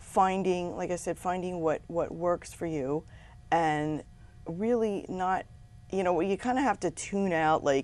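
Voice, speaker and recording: Over a quiet background, a woman with an unremarkable speaking voice talks at a fairly slow pace, her pitch fairly low with ordinary variation. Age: 60s. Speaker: author. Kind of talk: interview.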